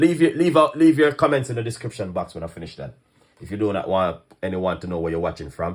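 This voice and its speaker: In a very clean recording with a silent background, a man with a Jamaican accent sounds animated, his pitch swinging very widely. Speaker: chef and online cooking host. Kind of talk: live stream chat. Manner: fast.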